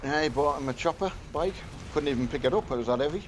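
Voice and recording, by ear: A man speaks at a fast pace. His pitch is fairly high, with ordinary pitch variation.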